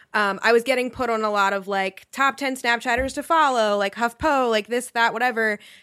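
A woman speaks at a fairly high pitch and a fairly quick pace, with a bright, sharp tone and hardly any pauses. Her intonation stays fairly even on a very clean recording with a silent background. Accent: American. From rural Pennsylvania, US. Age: 20s. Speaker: social media personality. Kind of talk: casual chat.

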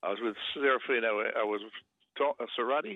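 Speaking with an Australian accent, a man uses a medium pitch and ordinary pitch variation. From Sydney, Australia. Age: 80s+. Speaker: former rugby player and sprinter. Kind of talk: radio interview.

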